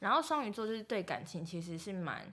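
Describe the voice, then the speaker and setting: Talking at a very fast pace, a woman uses lively intonation at a medium pitch. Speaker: podcast co-host. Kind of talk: casual chat.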